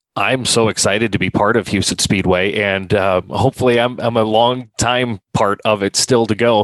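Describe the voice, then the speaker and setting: With an Upper Midwest accent, a man speaks at a moderate pace in a fairly low voice with fairly even intonation, very even loudness and hardly any pauses, in a dry, close sound with no echo. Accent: Upper Midwest American. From South Dakota, Sioux Falls area. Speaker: racetrack announcer. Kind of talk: casual interview. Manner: halting, many fillers.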